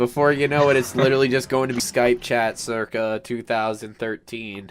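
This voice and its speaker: A man speaks with an American accent and fairly even intonation. There is noticeable background noise. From New Jersey. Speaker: podcast co-host. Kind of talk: casual chat.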